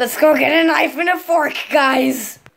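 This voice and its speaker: Putting on a character voice, a woman sounds raspy at a high pitch. She keeps a moderate pace. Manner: growly, playful.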